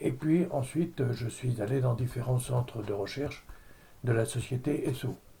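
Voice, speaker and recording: Somewhat breathy, with a dark, mellow tone, a man speaks at a medium pitch and a fairly slow pace. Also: ordinary pitch variation. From Normandy, France (Caudebec-en-Caux). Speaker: retired chemist, oil industry. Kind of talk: oral history interview. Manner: hesitant, many fillers.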